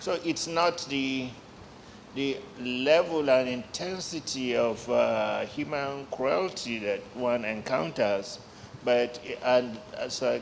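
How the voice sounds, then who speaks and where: A man talks at a medium pitch with ordinary pitch variation, and there is noticeable background noise. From Nigeria, Lagos. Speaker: journalist. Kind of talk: panel discussion.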